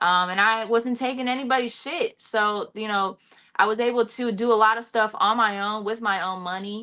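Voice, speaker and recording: At a moderate pace, the speaker uses an American accent with a bright, sharp tone and ordinary pitch variation. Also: woman, fairly high pitch for a woman. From Cincinnati, Ohio. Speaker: rapper. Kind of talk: casual interview chat. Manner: frequent fillers and repetitions.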